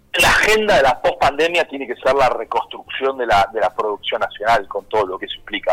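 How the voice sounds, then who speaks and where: In a dry, close sound with no echo, the words come at a fairly quick pace. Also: man. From Argentina, Buenos Aires province. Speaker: politician. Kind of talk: radio interview. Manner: halting, many repetitions.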